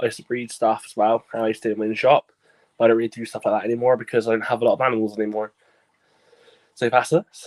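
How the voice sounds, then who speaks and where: A man mumbling in a Bristolian accent at a very fast pace, with long, frequent pauses, big swings in loudness, monotone, flat intonation and a dry, close sound with no echo. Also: medium pitch for a man. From Bristol, England. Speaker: podcast host, exotic pet keeper. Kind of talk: casual chat.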